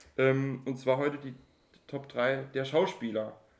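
A man speaks at a very slow pace. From Saarland, Germany. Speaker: podcast co-host. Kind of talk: casual chat.

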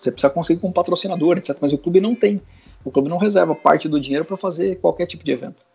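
A man with a high pitch talks very fast, and his pitch varies in an ordinary way. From Brazil, Guarulhos (São Paulo). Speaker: former football club press officer, now sports training entrepreneur. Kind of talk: casual interview chat. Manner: hesitant, repeats words.

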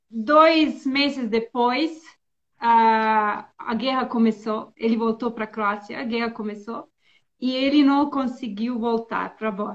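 Speaking at a very slow pace, a woman with a Bosnian accent keeps her fairly high voice in a fairly even intonation. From Bosnia and Herzegovina. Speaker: former diplomat. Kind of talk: interview. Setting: video call.

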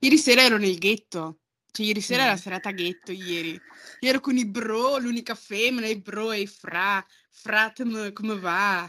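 Over a silent background in a very clean recording, a plain, everyday voice moves at a moderate pace with ordinary pitch variation. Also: woman, fairly high pitch for a woman. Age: 20s. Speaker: podcast guest. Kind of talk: casual chat.

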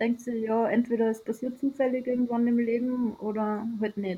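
A woman with a fairly high voice talks at a moderate pace, her intonation monotone and flat. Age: 30s. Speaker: sailor. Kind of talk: interview.

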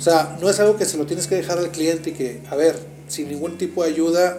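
Moderate pace and fairly even intonation, with noticeable background noise and audible room echo. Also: man. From Mexico, Monterrey. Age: 40s. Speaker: bank executive. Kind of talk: interview.

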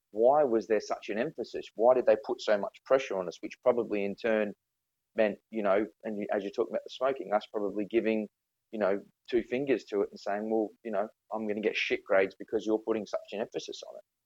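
Very fast and with big swings in loudness, a man talks in an Australian accent. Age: 30s. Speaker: podcast guest. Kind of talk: casual chat. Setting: video call.

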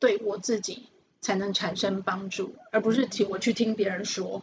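A woman speaks at a very slow pace in a somewhat breathy voice of medium pitch. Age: 50s. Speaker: fortune-telling teacher. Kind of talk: interview.

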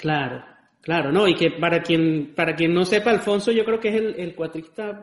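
At a moderate pace, a man talks in a high pitch with ordinary variation. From Venezuelan Andes. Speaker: podcast host and cuatro player. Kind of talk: casual chat.

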